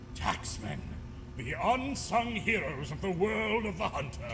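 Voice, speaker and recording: A man's put-on character voice, high-pitched, theatrical and smug, at a moderate pace over loud background noise. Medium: machinima. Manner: theatrical, smug.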